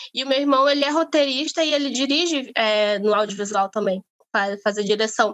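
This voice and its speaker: A woman speaks with lively intonation and a fairly high pitch, keeping her loudness very even throughout. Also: moderate pace. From Brazil, Amazonas. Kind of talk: interview conversation. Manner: halting, many fillers.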